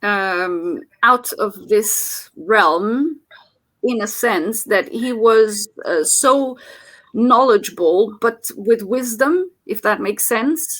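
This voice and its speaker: A woman's fairly high voice with lively intonation at a very slow pace. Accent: Portuguese. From Portugal. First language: Portuguese. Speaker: motivational channel host. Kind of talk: casual chat. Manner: halting, many fillers.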